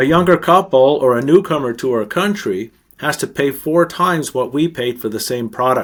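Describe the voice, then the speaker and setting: An unremarkable speaking voice with a Canadian accent moves at a moderate pace. The intonation is lively. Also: man. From Canada. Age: 60s. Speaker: author and investment consultant. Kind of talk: interview.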